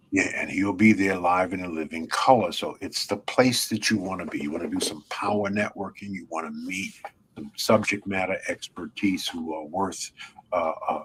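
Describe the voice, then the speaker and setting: Man with an American accent, fairly low pitch, fairly even intonation and a moderate pace, over noticeable background noise. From New York (Brooklyn). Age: 80s+. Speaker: networking conference founder. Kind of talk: interview.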